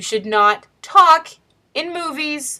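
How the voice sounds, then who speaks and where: A raised, projected voice with a bright, sharp tone and very wide pitch swings. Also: woman. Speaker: teacher and writer vlogger. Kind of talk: casual video diary. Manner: chatty.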